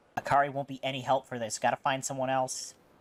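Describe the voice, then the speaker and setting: In a put-on character voice with a low-to-middle pitch, the speaker rattles along at a very fast pace with monotone, flat intonation. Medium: game stream. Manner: dry, deadpan.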